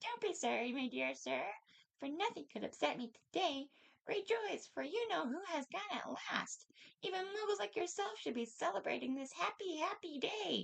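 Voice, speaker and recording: Putting on a squeaky character voice, a woman speaks at a high pitch with very wide pitch swings. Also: moderate pace. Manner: gleeful, overjoyed.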